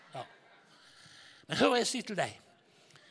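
The speaker is a man. His tone is animated. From Norway, Haugesund. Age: 60s. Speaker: evangelist preacher. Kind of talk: sermon.

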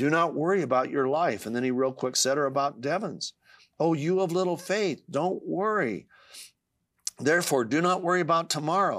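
An unremarkable speaking voice from a man at a moderate pace, with ordinary pitch variation, very even loudness and a very clean recording with a silent background. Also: fairly high pitch for a man. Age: 60s. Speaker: author. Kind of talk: casual chat.

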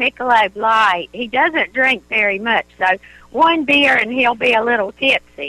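A woman with a rural Southern US accent speaks in a raised, projected voice, high-pitched for a woman, with lively intonation at a fairly slow pace. The sound is dry and close with no echo, though noticeable background noise is present. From North Carolina. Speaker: caller. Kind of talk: call-in advice conversation.

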